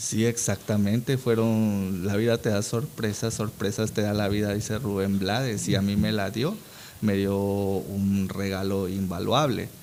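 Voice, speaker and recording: An unremarkable speaking voice goes at a fairly slow pace. Its intonation is fairly even and its loudness very even. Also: man, fairly low pitch for a man. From Peru, Amazon region, Iquitos. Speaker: actor. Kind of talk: casual interview.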